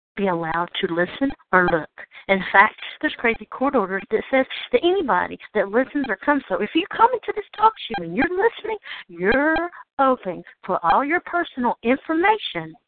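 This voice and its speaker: A woman with an American accent speaks at a moderate pace in a fairly high pitch, her voice taking very wide pitch swings. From Georgia, United States. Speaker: call-in talk show host. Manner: ranting, agitated.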